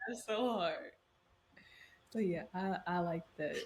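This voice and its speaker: A somewhat breathy woman's voice, fairly low in pitch, with lively intonation at a fairly slow pace. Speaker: podcast host. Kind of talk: casual chat. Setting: video call.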